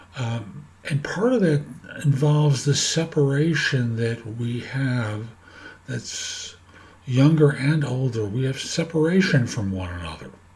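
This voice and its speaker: Noticeable background noise sits behind a man who speaks fairly slowly at a medium pitch with lively intonation. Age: 70s. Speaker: career coach and podcaster. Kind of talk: casual monologue to camera. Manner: halting, with fillers.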